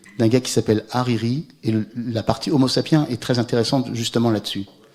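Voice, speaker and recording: A man talks at a moderate pace with a medium pitch. The recording is very clean, with a silent background. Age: 60s. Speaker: climate scientist. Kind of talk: Q&A after a public lecture. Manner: hesitant, many repetitions.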